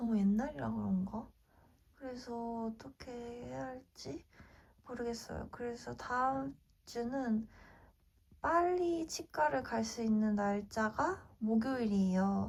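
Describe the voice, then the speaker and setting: The speech moves at a very slow pace with long, frequent pauses and very wide swings in pitch. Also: woman, fairly high pitch for a woman. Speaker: lifestyle vlogger. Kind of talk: casual vlog talk to camera.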